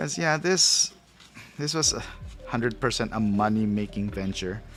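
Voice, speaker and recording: A man at a moderate pace with lively intonation, music playing in the background. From Philippines. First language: Tagalog or other Philippine language. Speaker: toy and collectible reviewer. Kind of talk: live stream unboxing review. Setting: live stream at home table. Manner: casual, halting with repetitions.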